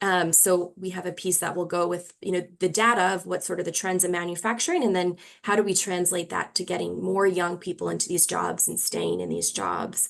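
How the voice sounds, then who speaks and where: With an American accent, a woman speaks at a fairly low pitch with vocal fry. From New York. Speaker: researcher. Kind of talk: webinar presentation. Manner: fast.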